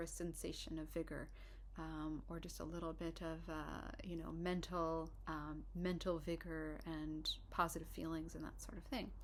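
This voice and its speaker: The speaker is soft-spoken and talks at a fairly slow pace. There is audible echo in the room. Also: woman. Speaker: herbalist and herbal instructor. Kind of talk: informal lecture. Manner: hesitant, many fillers and restarts.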